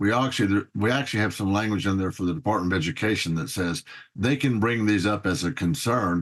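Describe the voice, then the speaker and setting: Over a quiet background, a man with an American accent talks at a very fast pace, his loudness very even and his pitch variation ordinary. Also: fairly low pitch for a man. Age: 70s. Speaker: politician. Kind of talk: interview.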